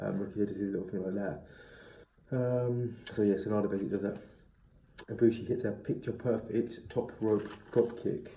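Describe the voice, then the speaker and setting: With a dark, mellow tone and fairly low pitch, a man sounds somewhat breathy and shows ordinary pitch variation. His pace is fairly quick but has long, frequent pauses, and audible room echo surrounds him. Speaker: wrestling reviewer. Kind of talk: review monologue. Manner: fast.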